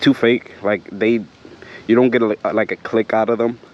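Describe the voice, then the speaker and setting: Flat, monotone intonation comes at a moderate pace, dry and close with no echo, against noticeable background noise. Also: man. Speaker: motorcycle vlogger. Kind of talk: casual vlog review while riding. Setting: outdoors riding trails, full-face helmet. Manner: hesitant, many fillers.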